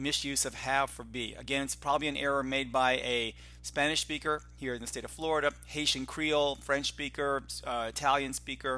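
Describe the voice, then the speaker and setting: A man's fairly high-pitched voice over music playing in the background. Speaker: grammar teacher trainer and textbook author. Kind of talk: tutorial. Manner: fast.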